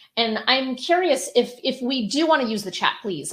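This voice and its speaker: A woman talks with an American accent at a moderate pace. Her pitch swings very widely. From US Northeast, Connecticut. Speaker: publishing company founder, webinar presenter. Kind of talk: webinar presentation. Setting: online webinar.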